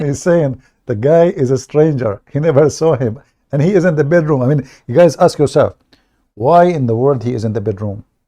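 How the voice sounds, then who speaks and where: Here a man with an Arabic accent speaks at a fairly quick pace in a fairly high pitch, with ordinary pitch variation. His tone is dark and mellow, and the background is quiet. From Middle East. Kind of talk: live stream commentary.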